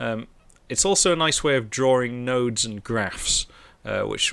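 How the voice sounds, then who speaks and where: A man with a Merseyside accent speaks in a relaxed tone at a moderate pace with ordinary pitch variation, in a very clean recording with a silent background. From northern England, near Liverpool. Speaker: programming streamer. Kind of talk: live coding stream chat. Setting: live stream. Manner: relaxed, hesitant with fillers.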